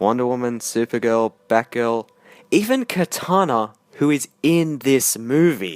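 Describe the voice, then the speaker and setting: In a dry, close sound with no echo, a man with an Australian accent speaks at a fairly slow pace with lively intonation. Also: medium pitch for a man. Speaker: film reviewer. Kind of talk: scripted review monologue.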